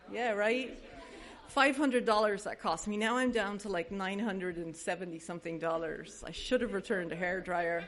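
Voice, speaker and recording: With audible room echo around her, a woman talks at a moderate pace in a medium pitch with ordinary pitch variation. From Ireland (Dublin). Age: 40s. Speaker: AA speaker, recovering alcoholic. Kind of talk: testimony.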